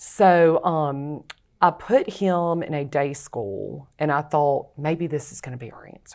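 A woman with a Louisiana accent speaks in a very deep, low voice at a fairly slow pace. Her pitch varies in an ordinary way on a very clean recording with a silent background. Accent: US Southern (Louisiana). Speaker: author. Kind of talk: interview testimony.

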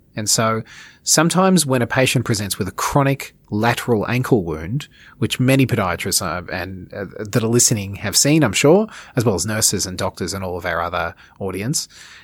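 A man speaks in an Australian accent at a fairly quick pace. His intonation is lively. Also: fairly low pitch for a man. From Australia, Melbourne. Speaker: dermatology and wound care clinician. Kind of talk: expert interview. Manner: halting, many repeated words.

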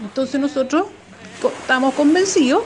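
With noticeable background noise behind her, a woman talks at a high pitch with ordinary pitch variation. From Chile, Valparaíso. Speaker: listener sharing childhood memories. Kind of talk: recorded anecdote.

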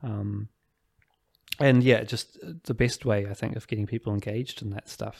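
The voice moves at a moderate pace with long, frequent pauses and flat, monotone intonation. The recording is very clean, with a silent background. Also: man, fairly low pitch for a man. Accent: New Zealand. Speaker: tailor and store manager. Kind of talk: casual interview conversation. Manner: hesitant, self-conscious.

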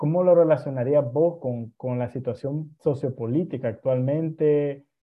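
A man with a plain, everyday voice, at a fairly slow pace, with ordinary pitch variation. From Nicaragua. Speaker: podcast host. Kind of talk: casual interview chat.

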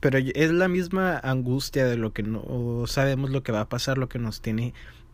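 With a Mexican accent, a man speaks at a medium pitch. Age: 20s. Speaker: podcast host. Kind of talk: casual monologue. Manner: informal, slangy.

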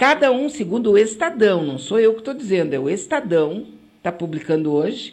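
Her pitch sitting in the medium range for a woman, the speaker moves at a fairly quick pace with very wide pitch swings. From Rio Grande do Sul, Brazil. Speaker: web radio host. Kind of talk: casual radio talk and commentary. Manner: animated.

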